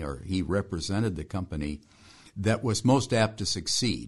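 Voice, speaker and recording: A somewhat breathy man with an American accent, lively intonation and a moderate pace. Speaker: engineer. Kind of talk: interview.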